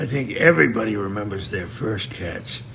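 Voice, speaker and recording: With audible room echo and noticeable background noise, a man of medium pitch talks at a moderate pace using lively intonation. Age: 70s. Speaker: veteran trapper. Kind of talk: podcast interview.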